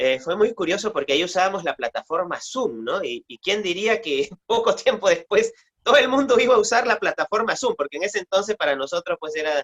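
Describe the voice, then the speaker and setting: With a Peruvian accent and a high pitch, a man talks at a fairly quick pace with lively intonation and hardly any pauses, in a dry, close sound with no echo. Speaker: oral storyteller and writer. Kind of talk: interview answer.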